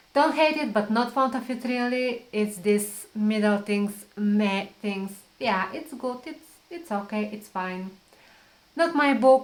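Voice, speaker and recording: Speaking with a non-native accent at a very slow pace, a woman has a fairly high pitch, ordinary pitch variation and big swings in loudness. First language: not English. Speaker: book vlogger. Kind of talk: casual talk to camera. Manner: halting, with fillers and repeats.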